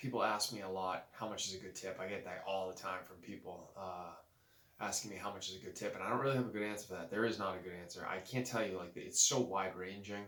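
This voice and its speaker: A man talks at a very fast pace with a fairly low pitch and fairly even intonation. Room echo is audible, along with noticeable background noise. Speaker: moving company owner. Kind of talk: casual vlog talk. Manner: keeping voice low; hesitant, many fillers.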